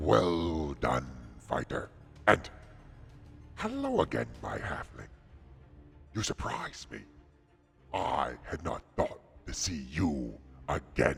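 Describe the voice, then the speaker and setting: A man speaks in a put-on character voice with a very deep, low pitch, talking at a very slow pace with long, frequent pauses while music plays in the background. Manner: mocking.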